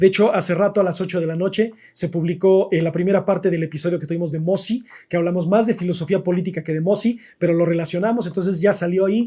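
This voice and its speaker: A man with a Mexican accent, high-pitched yet dark and mellow in tone, talking at a very fast pace with fairly even intonation and hardly any pauses. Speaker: philosophy livestream host. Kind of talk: live stream chat about philosophy. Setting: live stream.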